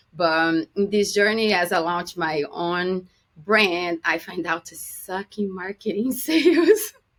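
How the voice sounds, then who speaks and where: A woman speaks at medium pitch with a Brazilian Portuguese accent. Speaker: business consultant. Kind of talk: podcast interview.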